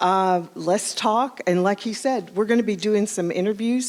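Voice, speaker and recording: The speaker has a Southern US accent, a moderate pace and fairly even intonation. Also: woman. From US Southwest, New Mexico. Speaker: streaming TV channel owner. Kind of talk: welcome remarks.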